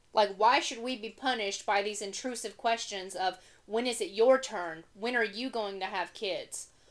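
Using an ordinary speaking voice, a woman with an American accent talks at a fairly high pitch with ordinary pitch variation. She moves at a moderate pace with hardly any pauses. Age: 20s. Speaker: podcast co-host. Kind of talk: casual chat.

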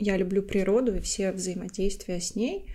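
A woman's dark, mellow voice at a medium pitch, with monotone, flat intonation. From Latvia. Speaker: podcast co-host, IT consultant. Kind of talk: casual chat. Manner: talkative.

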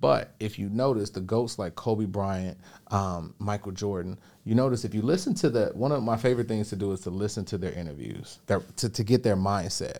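Speaking at a fairly quick pace with an American accent, a man with a fairly low pitch and a dark, mellow tone is heard in a very clean recording with a silent background. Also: ordinary pitch variation. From Chicago, South Side. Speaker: online business coach. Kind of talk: interview. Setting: studio.

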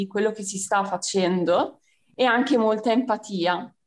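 With a plain, everyday voice, a woman speaks at a fairly high pitch and a moderate pace. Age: 20s. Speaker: civil service volunteer. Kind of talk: radio interview.

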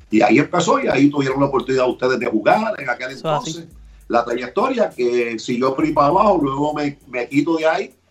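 With music behind him, a man's fairly high voice moves at a fairly quick pace, his pitch varying in an ordinary way. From Puerto Rico, Barranquitas. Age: 50s. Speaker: sports radio host. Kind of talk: casual interview.

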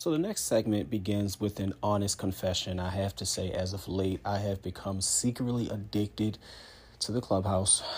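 A man with an American accent sounds somewhat breathy in a very clean recording with a silent background. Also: fairly low pitch for a man, ordinary pitch variation, moderate pace. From West Baltimore, Maryland. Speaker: podcast host. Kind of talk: casual chat.

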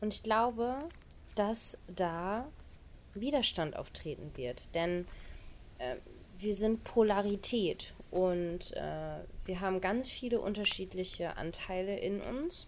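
Lively intonation runs through a woman's medium-pitched voice as she talks at a very slow pace with long, frequent pauses. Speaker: spiritual podcast host and coach. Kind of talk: solo podcast talk. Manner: animated, frequent laughter.

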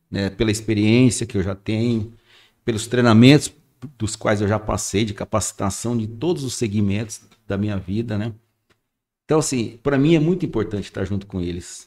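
A plain, everyday voice talks at a moderate pace. Its pitch variation is ordinary. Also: man. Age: 60s. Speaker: radio station manager. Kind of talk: casual chat.

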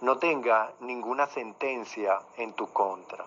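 A man speaks at a very slow pace. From Venezuela, Caracas. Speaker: sports journalist. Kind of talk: interview. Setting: virtual studio, remote call.

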